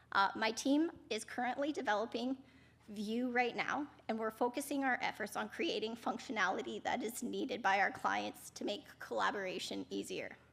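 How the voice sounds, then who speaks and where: A woman speaks with fairly high pitch and ordinary pitch variation. Vocal fry runs through her voice. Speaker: product manager giving a conference talk. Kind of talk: conference presentation.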